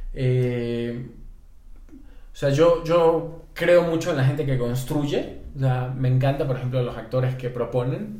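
A man with a medium-pitched, dark and mellow voice, somewhat breathy, speaks at a very slow pace with ordinary pitch variation over an audible room echo. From Ecuador, Guayaquil. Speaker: film and TV director and screenwriter. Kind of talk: interview conversation. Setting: in-person studio recording.

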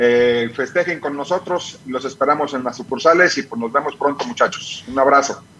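A man with a fairly high voice talks at a moderate pace with ordinary pitch variation and hardly any pauses, over noticeable background noise. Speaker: pharmacy chain director. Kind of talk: interview. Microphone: dropped line.

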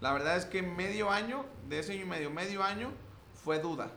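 A man speaks at a moderate pace with lively intonation. Noticeable background noise and audible room echo surround him. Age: 20s. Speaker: personal branding agency owner. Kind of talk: casual interview chat.

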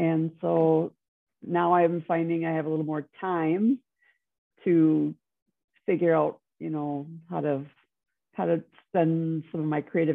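Speaking with an American accent, a woman uses a very deep, low-pitched voice at a fairly slow pace with fairly even intonation. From Wisconsin. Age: 50s. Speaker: x-ray technician. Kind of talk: interview conversation. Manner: hesitant, many fillers.

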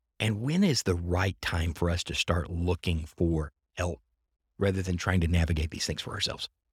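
A man with a very deep, low pitch speaks at a moderate pace in an animated, somewhat breathy tone. The recording is very clean, dry and close, with no echo and a silent background. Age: 40s. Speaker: podcast host. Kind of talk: casual interview chat.

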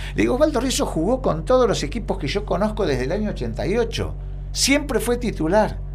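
Speaking with a Rioplatense accent at a moderate pace, a man is heard against music in the background and audible room echo. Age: 60s. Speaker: retired footballer. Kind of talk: casual interview. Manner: halting.

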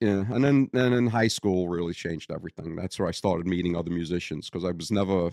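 A man speaks with a strong Brooklyn accent at a very deep, low pitch. His pitch varies in an ordinary way, and the sound is dry and close with no echo. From Brooklyn, New York. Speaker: bassist, retired telecom worker. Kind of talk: casual conversation, storytelling. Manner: wisecracking, sarcastic.

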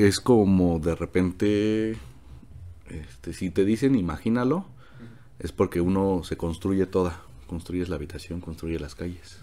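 A man speaks with a very deep, low pitch and a dark, mellow tone. His pace is fairly slow and his pitch varies in an ordinary way. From Mexico City. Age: 20s. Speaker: economics student. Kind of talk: casual interview.

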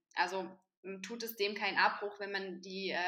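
The woman speaking has a medium pitch. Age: 20s. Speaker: vegan nutrition advisor. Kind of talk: casual chat.

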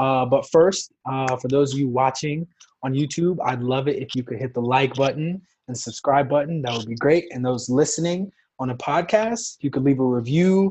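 The man's voice is somewhat breathy. His pitch variation is ordinary. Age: 20s. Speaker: podcast host. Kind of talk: casual chat.

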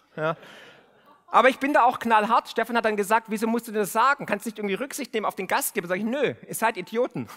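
A raised, projected voice with an animated tone, very fast pace and ordinary pitch variation, dry and close with no echo, over noticeable background noise. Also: man, high pitch for a man. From Remstal, Swabia, southern Germany. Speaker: podcast host and finance author. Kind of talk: speech to a live audience. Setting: stage with audience.

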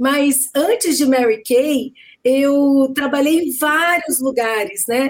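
Speaking at a very slow pace, a woman uses a high pitch and a very even loudness. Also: ordinary pitch variation. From Brazil, Cuiabá and Campo Grande (Centre-West). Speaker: direct sales executive, lawyer by training. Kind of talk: live video chat interview.

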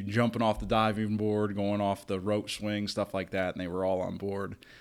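On a very clean recording with a silent background, a man with a fairly low pitch speaks at a moderate pace in a monotone, flat intonation. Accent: Kentucky. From Northern Kentucky. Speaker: summer camp director. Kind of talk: casual interview chat.

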